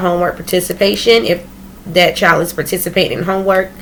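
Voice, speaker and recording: A woman's medium-pitched voice at a fairly quick pace. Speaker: pre-kindergarten teacher. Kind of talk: casual vlog talk. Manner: fast; halting with self-corrections.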